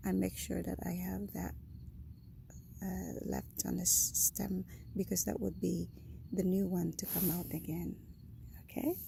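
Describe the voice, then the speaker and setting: A woman with a Filipino accent, fairly slow, with long, frequent pauses. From Philippines. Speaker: home gardener vlogger. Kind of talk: casual garden tour vlog. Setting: outdoors in garden at sunrise. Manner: animated.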